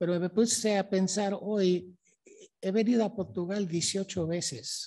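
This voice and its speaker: At a very slow pace, a man with a dark, mellow tone speaks with ordinary pitch variation. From Mexico City. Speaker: history professor. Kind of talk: lecture.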